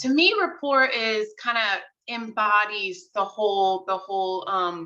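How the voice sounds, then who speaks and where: A woman with a New York accent and a fairly high pitch speaks at a fairly slow pace in a bright, sharp tone, with ordinary pitch variation and hardly any pauses. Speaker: real estate agent. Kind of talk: casual interview.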